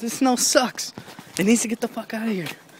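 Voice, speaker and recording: A man speaks with a dry sound and no echo at a fairly quick pace, with light background noise behind him. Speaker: vlogger. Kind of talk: casual vlog chat. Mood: annoyed at snow, joking. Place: street. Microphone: phone near.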